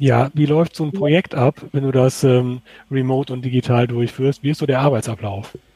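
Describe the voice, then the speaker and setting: A man with a medium-pitched, somewhat breathy voice and a dark, mellow tone speaks at a moderate pace. His intonation is fairly even, and the sound is dry and close with no echo. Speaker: podcast co-host. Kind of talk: casual chat; interview. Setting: outdoors in a garden.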